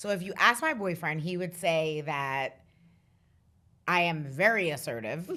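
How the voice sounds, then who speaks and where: Loud and bright, with a sharp tone, a woman speaks at a fairly slow pace and fairly low pitch, with ordinary pitch variation and long, frequent pauses. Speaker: finance professional. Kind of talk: casual chat.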